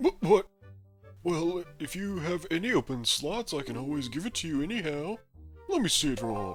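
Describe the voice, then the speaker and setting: A put-on character voice at middle pitch runs at a fairly quick pace over faint background music. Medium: solo performance. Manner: theatrical, self-satisfied.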